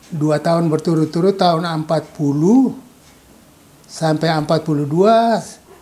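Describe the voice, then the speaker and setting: With ordinary pitch variation, a man speaks in a fairly high pitch. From Maluku, Indonesia (Saparua, Ambon; later Medan). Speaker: retired school principal and teacher. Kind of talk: interview, life story.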